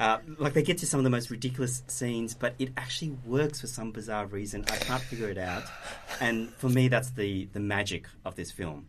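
There is noticeable background noise as a man speaks at a fairly quick pace. His pitch is medium, with ordinary variation. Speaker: producer. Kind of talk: casual chat.

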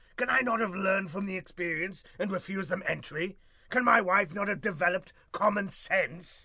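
This man puts on a character voice, pitched high, at a moderate pace. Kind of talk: comic overacting. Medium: comedy sketch. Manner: pompous and peevish.

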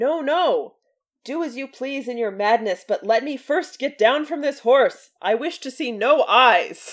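High-pitched, female-sounding put-on character voice, delivered at a fairly slow pace. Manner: gruff, stubborn.

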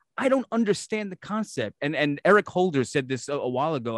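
Very fast and full of lively intonation, a man speaks with a New York accent on a very clean recording with a silent background. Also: dry, close sound with no echo. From Brooklyn, New York. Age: 40s. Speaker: podcast host. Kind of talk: casual interview.

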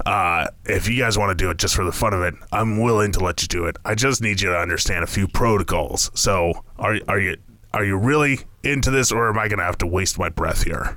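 A man puts on a character voice with a fairly low pitch, barely pausing at all. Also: moderate pace. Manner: irritable, cursing, fussy.

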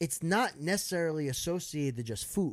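A man speaks in a plain, everyday voice at a moderate pace, his fairly high pitch rising and falling in lively intonation, on a very clean recording with a silent background. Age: 30s. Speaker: social media content creator. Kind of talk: casual chat.

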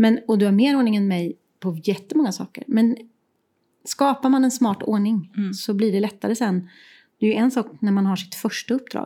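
A woman speaks at a moderate pace in a fairly high, somewhat breathy voice with a dark, mellow tone, in a very clean recording with a silent background. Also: ordinary pitch variation. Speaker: podcast co-host, creative professional. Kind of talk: casual chat. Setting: her art studio, sharing one mic.

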